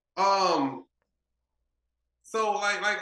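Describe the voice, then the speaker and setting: A raised, projected voice with an American accent. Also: man. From Texas. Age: 40s. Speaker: car builder. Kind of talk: casual interview chat.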